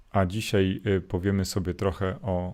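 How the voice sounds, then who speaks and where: A man speaks at a very slow pace in a very deep, low voice. The recording is very clean, with a silent background. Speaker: Jesuit priest. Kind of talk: morning gospel reflection livestream. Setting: live stream to YouTube and Facebook.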